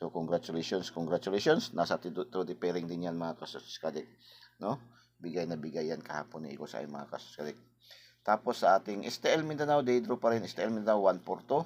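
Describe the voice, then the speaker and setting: Very fast, with lively intonation, a man speaks at a very deep, low pitch. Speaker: lottery tips vlogger. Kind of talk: casual tutorial. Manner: repetitive filler-heavy.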